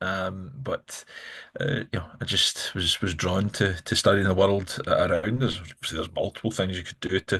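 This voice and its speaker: In a Glaswegian accent, a man sounds somewhat breathy, talking at a moderate pace with ordinary pitch variation against a quiet background. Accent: Glaswegian Scottish. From Scotland, Glasgow. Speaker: politician. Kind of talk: interview. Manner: halting, many fillers and repeats.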